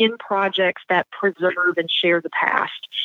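A woman's normal speaking voice, medium in pitch with ordinary pitch variation, at a fairly slow pace. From US South. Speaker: history professor. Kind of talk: interview.

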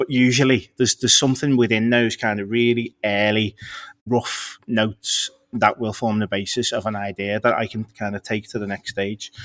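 The speaker has a Scouse accent and a monotone, flat intonation at a moderate pace. The recording is very clean, with a silent background. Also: man, medium pitch for a man. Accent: Scouse (Liverpool) English. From Liverpool, England. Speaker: copywriter. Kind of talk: interview conversation.

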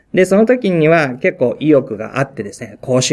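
This man talks at a fairly quick pace, and his pitch varies in an ordinary way. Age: 40s. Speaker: pastor. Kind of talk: talk to fellow pastors. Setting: pastors' meeting. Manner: halting.

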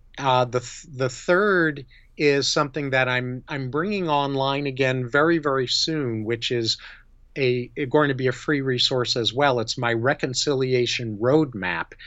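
With an American accent, a man speaks in a plain, everyday voice at medium pitch with ordinary pitch variation. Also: fairly slow pace. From New York. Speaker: psychologist and integrity consultant. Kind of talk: interview.

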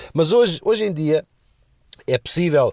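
A man at a moderate pace with very wide pitch swings, in a dry, close sound with no echo and a quiet background. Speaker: radio and podcast commentator. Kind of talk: casual chat.

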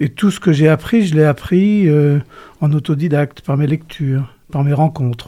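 A man with a dark, mellow tone and a fairly high pitch speaks somewhat breathily at a fairly slow pace. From western France, Cholet (Maine-et-Loire). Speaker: retired journalist and author. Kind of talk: interview.

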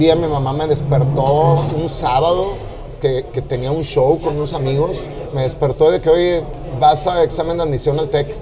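Over noticeable background noise and audible room echo, a man talks at a moderate pace in a fairly high voice with fairly even intonation. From Mexico City. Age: 40s. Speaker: music manager. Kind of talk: casual interview. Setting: noisy restaurant.

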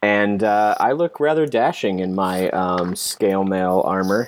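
A man at a fairly slow pace with very wide pitch swings, in a very clean recording with a silent background. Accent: American. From US South (Kentucky). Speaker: game designer and writer. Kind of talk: casual chat and tabletop role-play.

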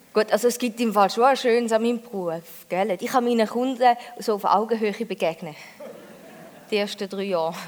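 A woman with a Thurgau accent speaks at a fairly high pitch with ordinary pitch variation. She moves at a fairly quick pace but takes long, frequent pauses. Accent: Thurgau Swiss German dialect. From Switzerland, Thurgau. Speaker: comedian. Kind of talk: stand-up. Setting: stage with audience.

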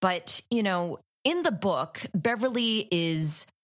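A woman with a Canadian accent and lively intonation on a very clean recording with a silent background. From Ottawa, Canada. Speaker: horror podcast co-host. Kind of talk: casual film discussion.

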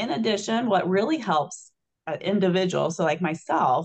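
In a normal speaking voice, a woman talks at a fairly low pitch. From Illinois. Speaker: trauma surgeon and hospital executive. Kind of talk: interview.

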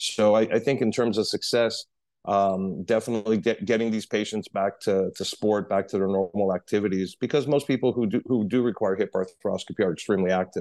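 In a normal speaking voice, a man with an American accent talks at a fairly quick pace and fairly low pitch, with very even loudness, fairly even intonation and hardly any pauses. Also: quiet background. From New York City. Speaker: orthopedic surgeon. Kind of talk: interview.

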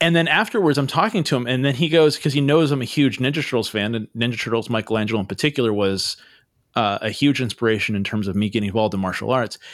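Very fast and at medium pitch, a man speaks with ordinary pitch variation in a very clean recording with a silent background. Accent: Californian. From US West Coast (Santa Cruz, California). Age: 40s. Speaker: podcast host. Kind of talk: casual chat.

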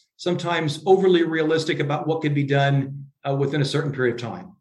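Here a man speaks with an American accent. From US Midwest, Iowa. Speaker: leadership coach and author. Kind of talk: interview.

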